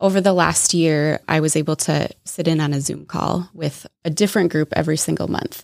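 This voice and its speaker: A woman with a slight Minnesota accent speaks at a moderate pace with a very deep, low pitch and vocal fry, hardly pausing at all. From Minnesota, US Midwest. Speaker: guest, sells fair trade goods. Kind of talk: casual interview chat.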